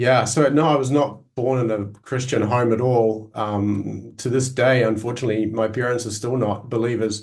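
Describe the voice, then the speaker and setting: In a New Zealand accent, a man talks at a moderate pace with fairly even intonation and hardly any pauses. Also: medium pitch for a man. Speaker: Greek language scholar and teacher. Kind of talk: interview. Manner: halting, many fillers.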